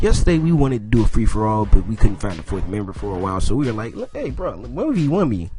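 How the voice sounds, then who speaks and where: With music in the background, a man speaks at a very fast pace with very wide pitch swings. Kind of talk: casual gameplay commentary.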